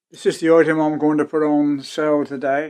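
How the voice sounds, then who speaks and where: A man speaks with a West Country accent. His pitch is fairly high. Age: 70s. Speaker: retired shipwright. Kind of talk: documentary interview narration.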